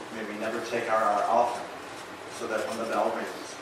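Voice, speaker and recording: A man is speaking in a room with audible echo. Noticeable background noise can be heard as well. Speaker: chaplain giving invocation. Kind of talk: ceremony emcee remarks and prayer. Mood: solemn, reverent. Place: hall.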